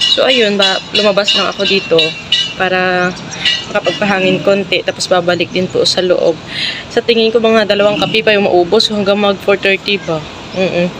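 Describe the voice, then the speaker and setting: Over noticeable background noise, a woman talks at a fairly quick pace and medium pitch with fairly even intonation. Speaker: vlogger. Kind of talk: casual vlog narration. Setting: outdoors outside the office.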